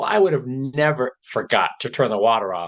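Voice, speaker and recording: At a moderate pace, a man in an unremarkable speaking voice talks with lively intonation. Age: 60s. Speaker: patient with early-onset Alzheimer's. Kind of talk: personal testimony.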